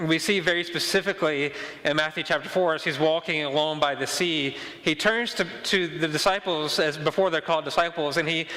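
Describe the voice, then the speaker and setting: Noticeable background noise surrounds a man with a high pitch. He talks at a fairly quick pace with fairly even intonation. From Mississippi. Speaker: pastor. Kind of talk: sermon. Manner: fast; repetitive stammering restarts.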